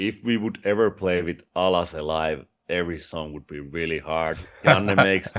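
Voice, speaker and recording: Speaking with a Finnish accent, a man talks at a moderate pace in a very deep, low pitch, with fairly even intonation and big swings in loudness. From Finland. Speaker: rock vocalist. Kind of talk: interview.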